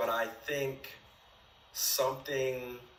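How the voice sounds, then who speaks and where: A man speaks in a room with audible echo. There is noticeable background noise as well. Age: 20s. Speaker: dating show contestant. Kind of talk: casual chat. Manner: halting.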